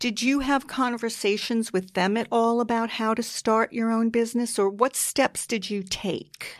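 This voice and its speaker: In a very clean recording with a silent background, a woman with a plain, everyday voice speaks at a moderate pace with hardly any pauses, a fairly high pitch and fairly even intonation. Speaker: podcast host. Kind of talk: casual interview chat.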